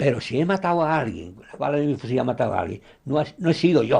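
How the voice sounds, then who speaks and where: A man speaks at a fairly quick pace in a somewhat breathy voice. His tone is dark and mellow. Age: 80s+. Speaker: former anti-Franco guerrilla fighter. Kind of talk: documentary interview testimony.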